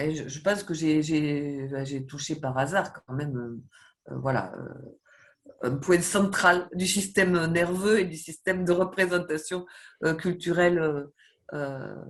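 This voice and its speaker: A woman speaks very slowly in a very deep, low voice. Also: ordinary pitch variation. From southwest France. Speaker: professor. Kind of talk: interview. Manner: hesitant, many fillers and repetitions.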